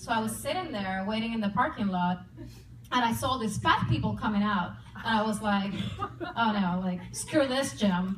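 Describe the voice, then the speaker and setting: A woman talks at a medium pitch and moderate pace with ordinary pitch variation. Room echo is audible, and there is noticeable background noise. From Puerto Rico. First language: Spanish. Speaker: comedian and army veteran. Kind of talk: stand-up. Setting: stage with audience.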